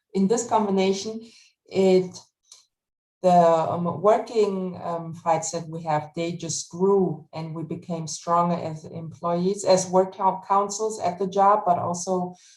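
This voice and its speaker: Very slow speech from a woman in a German accent, medium in pitch, with fairly even intonation. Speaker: retail worker and union organizer. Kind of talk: panel discussion. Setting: webinar video call. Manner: halting.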